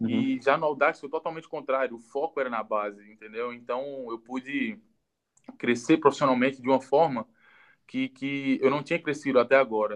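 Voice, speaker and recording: A man talks with an ordinary speaking voice at a fairly quick pace. His pitch is fairly high with ordinary pitch variation. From Ceará, Brazil (Juazeiro do Norte). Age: 20s. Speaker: goalkeeper and football coach. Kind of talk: casual interview on a livestream. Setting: online live video stream. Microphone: low quality audio ripped from video.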